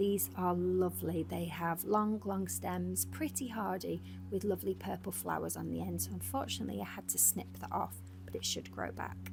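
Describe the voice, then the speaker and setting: Soft-spoken and somewhat breathy, a woman speaks in a very deep, low pitch with a calm tone and monotone, flat intonation. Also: moderate pace. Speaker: lifestyle vlogger. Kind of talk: voiceover narration. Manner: calm, soft-spoken.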